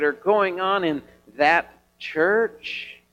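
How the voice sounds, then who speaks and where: A man's high voice with ordinary pitch variation and music in the background. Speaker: pastor. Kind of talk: sermon. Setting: church.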